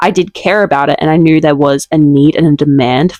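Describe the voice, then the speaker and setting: A woman with an Australian accent talks at a fairly quick pace in a dry, close sound with no echo. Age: 20s. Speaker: vlogger and small business owner. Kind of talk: casual vlog talk to camera.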